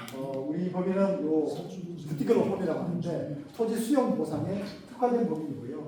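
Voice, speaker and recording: Noticeable background noise and audible room echo fill the recording. A man speaks with lively intonation at a high pitch. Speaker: lawyer at law firm presenting to residents. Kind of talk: public information session presentation. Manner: fast toward the end.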